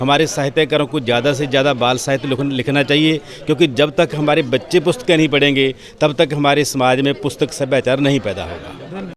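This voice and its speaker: Through noticeable background noise, a man with a Punjabi accent and a fairly high pitch speaks with ordinary pitch variation and hardly any pauses. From Punjab, India (Patiala district). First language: Punjabi (speaking Hindi). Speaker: playwright and critic, award winner. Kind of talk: interview.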